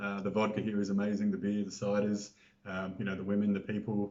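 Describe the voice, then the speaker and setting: Over noticeable background noise, a man with an Australian accent speaks very fast at a fairly low pitch. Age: 40s. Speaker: interview guest. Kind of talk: casual interview. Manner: hesitant, many fillers.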